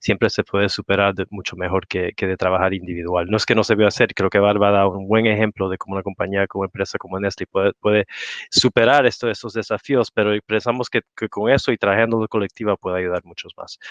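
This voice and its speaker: A man with a non-native accent speaks at a very fast pace with hardly any pauses, at a fairly low pitch and with fairly even intonation. The sound is dry and close with no echo, against a quiet background. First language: not Spanish (speaking Spanish). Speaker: industry association representative. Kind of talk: panel talk. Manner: halting.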